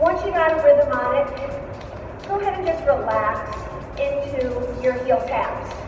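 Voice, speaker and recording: The speech moves at a fairly slow pace with very wide pitch swings. Music plays in the background, and there is audible room echo. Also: woman, extremely high pitch for a woman. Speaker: fitness instructor. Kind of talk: workout instruction. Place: gym. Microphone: camera far.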